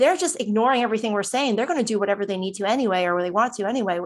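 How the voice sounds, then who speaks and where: On a very clean recording with a silent background, a woman with an American accent speaks in an animated tone at a fairly high pitch with ordinary pitch variation. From New Jersey. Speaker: cybersecurity hiring manager. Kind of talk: interview. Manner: talkative, animated.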